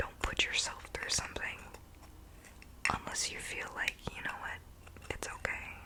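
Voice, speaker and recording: Noticeable background noise surrounds a woman who whispers at a moderate pace. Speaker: ASMR creator. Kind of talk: ASMR whispered self-care talk.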